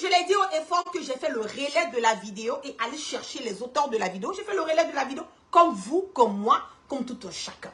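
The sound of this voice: A woman talks fast with few pauses, her high voice fairly bright in tone and swinging widely in pitch.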